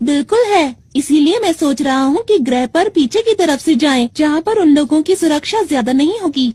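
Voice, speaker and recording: This is a high-pitched, put-on character voice. It moves at a fairly quick pace with hardly any pauses. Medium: fan dub. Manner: polite, formal.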